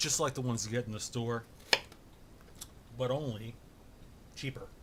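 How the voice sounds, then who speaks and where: Amid noticeable background noise, a man talks at a moderate pace with a medium pitch and fairly even intonation. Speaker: home cooking vlogger. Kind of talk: casual cooking tutorial. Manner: loud, shouting to be heard. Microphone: far from camera mic, has to shout.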